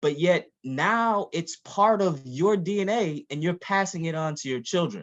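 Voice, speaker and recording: A man with an American accent, high-pitched and lively in intonation, at a fairly slow pace over a quiet background. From Missouri, US Midwest. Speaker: endocrinologist and professor. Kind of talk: virtual workshop talk.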